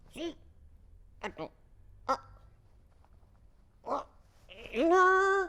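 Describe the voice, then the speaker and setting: A man adopts a put-on character voice pitched extremely high. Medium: stage.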